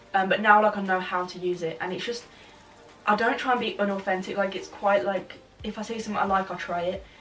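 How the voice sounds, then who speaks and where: Very fast speech comes from a woman. There is noticeable background noise. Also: medium pitch for a woman, fairly even intonation. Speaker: videographer and brand owner. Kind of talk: interview.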